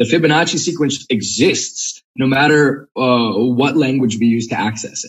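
A man with an American accent speaks at a moderate pace with hardly any pauses. His pitch is medium, with ordinary variation. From US East Coast. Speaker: Latin teacher and language enthusiast. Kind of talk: casual interview.

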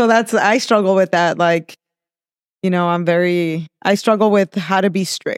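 A woman with a slight Mexican accent talks at a moderate pace and medium pitch, keeping her intonation fairly even. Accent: slight Mexican-accented American English. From Mexico, raised in Southern California (El Monte). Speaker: chef and restaurant owner. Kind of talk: casual interview. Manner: laughs often.

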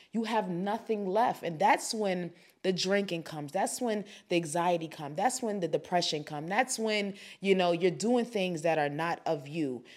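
A woman speaks in an animated tone at a moderate pace on a very clean recording with a silent background. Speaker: podcast host, faith and self-help talk. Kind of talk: solo motivational podcast talk. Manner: animated, conversational with fillers.

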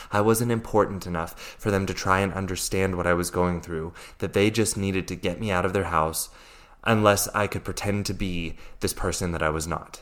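A man with an American accent speaks at a fairly quick pace in a very deep, low voice, his intonation fairly even. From US, Virginia. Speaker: life coach. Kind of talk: podcast monologue, personal story.

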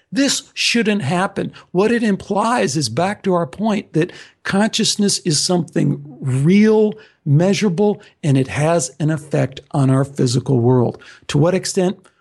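A man's high-pitched voice with a Midwestern accent, fairly slow, with lively intonation and very even loudness. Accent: American Midwest. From US Midwest, Chicago. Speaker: podcast host and author. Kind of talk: interview conversation.

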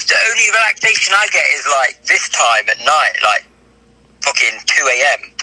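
Over noticeable background noise, a man with an English accent speaks at a moderate pace. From England. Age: 30s. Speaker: film director. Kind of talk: casual chat.

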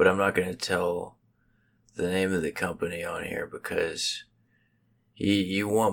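A man speaks quietly and at a fairly slow pace. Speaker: podcast co-host. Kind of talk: casual comedic chat. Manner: hushed, low tone.

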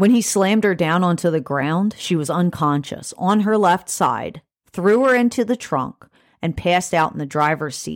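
In a very clean recording with a silent background, a woman with an unremarkable speaking voice talks at a moderate pace, fairly low in pitch, with lively intonation. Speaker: podcast host researching and telling true crime cases. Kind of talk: true-crime narration, telling the case details to a co-host. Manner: steady, matter-of-fact storytelling, casual and conversational between narrated passages; casual, chatty, swears mildly.

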